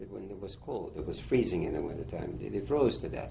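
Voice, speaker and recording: With audible room echo, a man speaks at a moderate pace and fairly low pitch, showing vocal fry and very wide pitch swings. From Germany, then Shanghai, China. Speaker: war veteran. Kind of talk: interview. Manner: halting.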